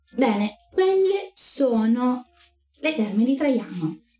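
A woman's voice with music in the background. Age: 20s. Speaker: streamer teaching ancient history. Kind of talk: livestream lecture. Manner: animated.

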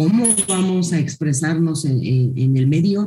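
A woman with a fairly low pitch and a dark, mellow tone speaks with lively intonation, sounding somewhat breathy. Audible room echo surrounds her voice. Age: 50s. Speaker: school director. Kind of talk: interview.

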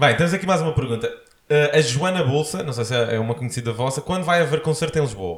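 A man speaks very fast in a fairly high pitch, somewhat breathy. His intonation is lively. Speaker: podcast host. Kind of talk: casual interview. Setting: home studio, sitting on sofa.

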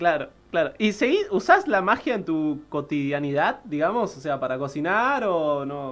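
A fairly slow pace with hardly any pauses, against a quiet background. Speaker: radio host. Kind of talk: casual chat. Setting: studio.

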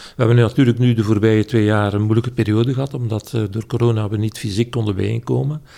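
This man talks at a very fast pace. His voice has a dark, mellow tone and a fairly low pitch. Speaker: political philosopher. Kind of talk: casual interview. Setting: at home, at a table. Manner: hesitant, frequent uh.

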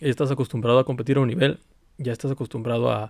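Very fast speech with fairly even intonation and a dry, close sound with no echo. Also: man. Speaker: podcast host. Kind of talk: casual monologue. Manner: halting.

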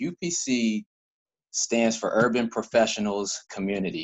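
An unremarkable speaking voice with an American accent shows ordinary pitch variation. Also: man. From Baltimore County, Maryland. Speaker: community group founder. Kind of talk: casual interview. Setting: video call.

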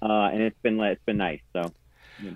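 At a moderate pace, a man with a fairly low pitch talks with fairly even intonation in a dry, close sound with no echo.

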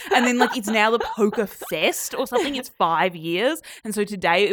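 A woman with an Australian accent, talking at a very fast pace. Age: young. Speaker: podcast co-host, journalist. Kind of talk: casual chat.

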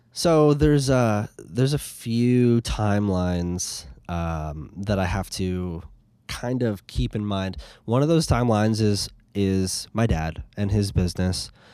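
A man's dark, mellow tone and lively intonation in a very clean recording with a silent background. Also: fairly low pitch for a man, fairly slow pace. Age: 20s. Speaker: graphic designer and music producer. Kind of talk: casual chat. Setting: inside a van.

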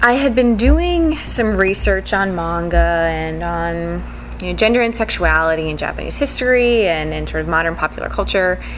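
With noticeable background noise behind her, a woman talks with hardly any pauses. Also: moderate pace. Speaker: podcast host and conference presenter. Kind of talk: conference talk discussion, explanatory.

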